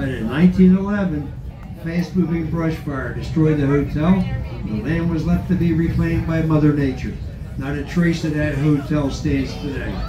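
This is a man talking at a moderate pace. Noticeable background noise runs under his voice. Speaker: train tour narrator. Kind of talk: tour commentary. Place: train.

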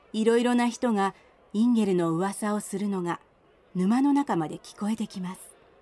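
This woman talks at a moderate pace with a medium pitch. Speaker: narrator. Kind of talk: fairy tale audio drama narration.

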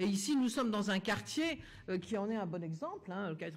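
The voice of this woman is somewhat breathy. She keeps to a moderate speed. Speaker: politician. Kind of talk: political speech. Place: hall.

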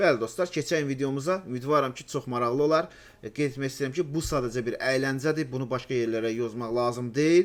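Man, medium pitch, moderate pace, with ordinary pitch variation. He has a plain, everyday voice, in a very clean recording with a silent background. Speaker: gaming YouTuber. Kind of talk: casual chat. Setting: voice chat.

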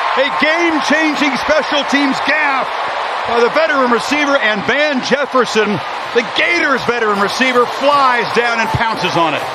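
An animated, raised and projected voice with ordinary pitch variation and very even loudness, over noticeable background noise. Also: man, extremely high pitch for a man. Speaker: play-by-play commentator. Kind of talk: live play-by-play sports commentary, rapid game narration. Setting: stadium broadcast booth. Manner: animated, rising on big plays.

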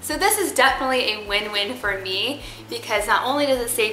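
There is faint music in the background and audible room echo. A woman speaks at a moderate pace. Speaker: parenting vlogger. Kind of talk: casual vlog chat.

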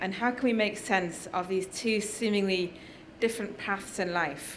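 A speaker with a northern English accent talks at a moderate pace. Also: woman.

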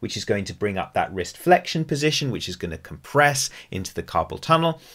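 Over a quiet background, a man talks with vocal fry and very wide pitch swings. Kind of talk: tutorial. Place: home room.

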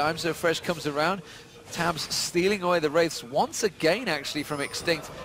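Through noticeable background noise, a high-pitched man speaks at a fairly quick pace with fairly even intonation. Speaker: esports caster. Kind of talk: live commentary.

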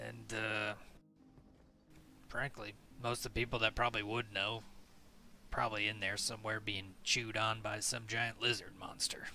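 In a put-on character voice, a man sounds gruff and raspy at medium pitch, speaking at a moderate pace in a monotone, flat intonation with long, frequent pauses while music plays in the background. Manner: gruff, blunt, impatient.

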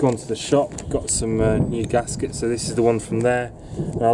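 A man talks over noticeable background noise. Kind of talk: tutorial. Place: street. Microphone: phone near.

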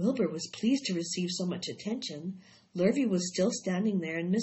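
Pitch variation stays ordinary. The clip is reading aloud in a natural voice.

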